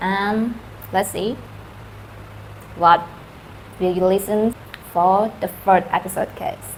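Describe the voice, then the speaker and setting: Over noticeable background noise, a woman with a medium pitch speaks very slowly in a flat monotone, leaving long, frequent pauses. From Thailand, Karen community. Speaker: true crime channel host. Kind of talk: casual channel intro. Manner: halting, with fillers.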